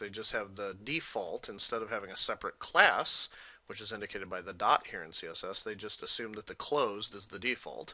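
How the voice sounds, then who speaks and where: A man's voice has a bright, sharp tone and a fairly low pitch. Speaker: college instructor. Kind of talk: lecture. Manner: casual, filler-heavy.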